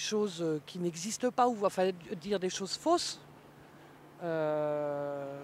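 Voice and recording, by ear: Slightly mellow in tone, a woman speaks at a fairly low pitch with ordinary pitch variation.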